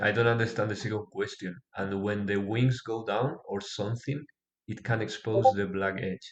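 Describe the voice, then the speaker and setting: A man with a non-native accent speaks at a moderate pace in a fairly low, somewhat breathy voice with fairly even intonation. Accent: non-native, self-described weak pronunciation. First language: not English. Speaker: pixel artist streamer. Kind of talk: live streaming tutorial. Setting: live stream on Discord. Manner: halting.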